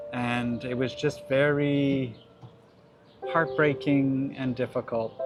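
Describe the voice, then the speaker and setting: Over music in the background, a man with a Canadian accent talks at a very slow pace in a medium pitch, his intonation flat and monotone. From Canada. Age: 60s. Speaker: family doctor. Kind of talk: interview.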